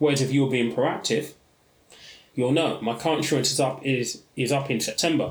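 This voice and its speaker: A man with a British accent speaks at a moderate pace and medium pitch, somewhat breathy, with very even loudness and fairly even intonation. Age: 30s. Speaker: podcast host, personal finance educator. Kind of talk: solo podcast monologue.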